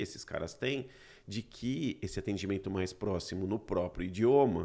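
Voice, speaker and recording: A man with a plain, everyday voice speaks at a moderate pace, his fairly low pitch carrying lively intonation. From Brazil. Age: 40s. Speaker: podcast host. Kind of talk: casual chat.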